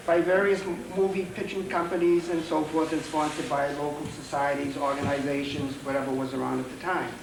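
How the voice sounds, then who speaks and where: Fairly quick speech with hardly any pauses and fairly even intonation, amid noticeable background noise and audible room echo. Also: man, fairly high pitch for a man. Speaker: local historian. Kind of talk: public talk. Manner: soft-spoken. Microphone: too quiet at first.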